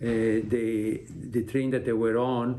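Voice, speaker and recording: Audible room echo surrounds a man's medium-pitched voice. His intonation is monotone and flat. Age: 70s. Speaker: Holocaust survivor, doctor. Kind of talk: recorded interview. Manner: halting.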